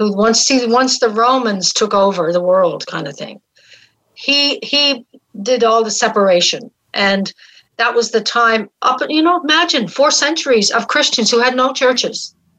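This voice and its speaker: A woman with a Newfoundland accent, her high pitch bright and sharp, her intonation lively, her pace fairly slow. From Newfoundland, St. John's. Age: 70s. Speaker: spiritual mentor and facilitator. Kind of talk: live radio interview.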